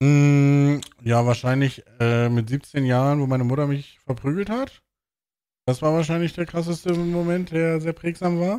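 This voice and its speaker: A man talks at a fairly slow pace in a fairly high pitch with ordinary pitch variation. His tone is dark and mellow. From northern Germany, Bremen; Germany. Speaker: podcast host. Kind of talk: casual chat. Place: home room. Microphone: studio mic.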